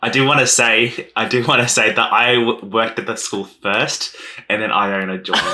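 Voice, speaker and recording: Noticeable background noise sits behind a man speaking at a medium pitch with an Australian accent. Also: fairly even intonation, moderate pace. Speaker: podcast host and English teacher. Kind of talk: casual chat.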